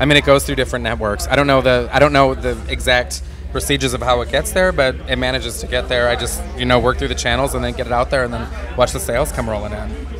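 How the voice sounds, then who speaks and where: A man talks at a very fast pace over background music, with audible echo in the room. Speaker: independent hip hop artist. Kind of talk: interview. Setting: red carpet release party. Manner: animated.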